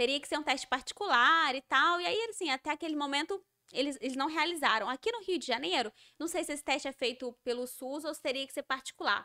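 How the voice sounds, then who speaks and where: A woman projects her voice in a high pitch with a bright, sharp tone and lively intonation, speaking very fast in a dry, close sound with no echo. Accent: mineiro. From Minas Gerais, Brazil. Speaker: educator of deaf children. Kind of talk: podcast interview.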